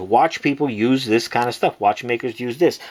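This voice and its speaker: A man's voice, with ordinary pitch variation, competes with noticeable background noise. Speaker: watch and pencil holder maker, online seller. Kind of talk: tutorial. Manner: casual, filler-heavy.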